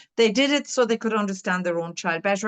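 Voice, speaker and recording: A woman's fairly high voice in an Irish accent, with ordinary pitch variation. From Ireland. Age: 60s. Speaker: dyslexia tutor and curriculum author. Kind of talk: interview. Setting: podcast interview. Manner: halting.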